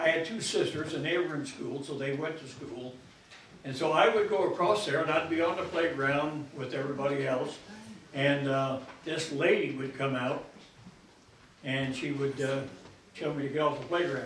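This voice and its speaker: A man at a fairly high pitch and moderate pace with fairly even intonation, amid noticeable background noise and audible room echo. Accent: American. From Keokuk, Iowa, US Midwest. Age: 90s. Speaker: local elder sharing memories. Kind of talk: storytelling talk to an audience. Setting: stage with audience. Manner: halting, with many fillers.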